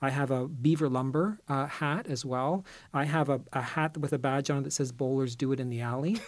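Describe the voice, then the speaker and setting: On a very clean recording with a silent background, a man with a fairly high pitch speaks in an unremarkable speaking voice with ordinary pitch variation. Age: 50s. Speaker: style columnist. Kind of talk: casual chat.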